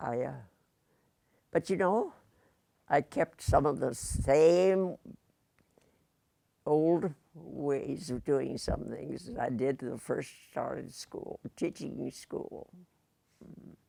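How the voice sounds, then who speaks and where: Very slow speech from a woman with a Midwestern US accent, broken by long, frequent pauses. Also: big swings in loudness. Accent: US Midwest. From Indiana. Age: 80s+. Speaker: retired teacher. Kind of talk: interview.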